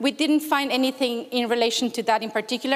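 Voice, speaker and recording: With a Spanish accent, a woman speaks at a high pitch with fairly even intonation. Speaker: researcher; conference presenter. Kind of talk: conference talk. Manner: hesitant, many fillers. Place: hall.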